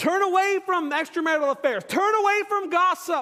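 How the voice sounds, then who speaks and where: A man's extremely high-pitched, raised and projected voice with a bright, sharp tone and lively intonation. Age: 40s. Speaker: pastor. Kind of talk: sermon.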